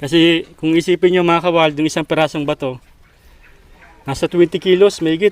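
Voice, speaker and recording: A man with a high voice talks fairly quickly, the sound dry with no echo. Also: fairly even intonation. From Philippines, rural province. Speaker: vlogger; vlogger visiting a rural family. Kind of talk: casual vlog narration. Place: open country.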